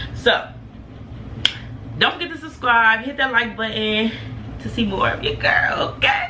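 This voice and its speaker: A woman's speech full of long, frequent pauses, amid noticeable background noise and audible room echo. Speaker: beauty YouTuber. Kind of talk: casual vlog talk. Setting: bathroom. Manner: fast; animated.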